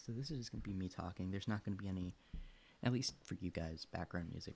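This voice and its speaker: A fairly low-pitched man with a dark, mellow, somewhat breathy tone at a very fast pace. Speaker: science streamer. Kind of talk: casual livestream research session. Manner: mumbling to himself while reading.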